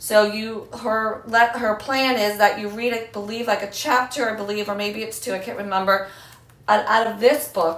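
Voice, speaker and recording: Background noise is noticeable, along with audible room echo. A woman with a fairly high voice speaks at a moderate pace. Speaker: homeschooling mom vlogger. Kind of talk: casual vlog talk to camera. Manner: casual, filler-heavy with um and like.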